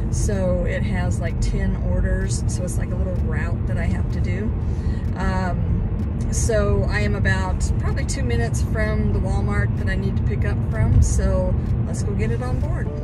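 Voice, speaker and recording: A woman speaks at a moderate pace. The sound is dry with no echo, but loud background noise is present. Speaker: delivery driver vlogger. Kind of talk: casual vlog chat. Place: car. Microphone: phone near.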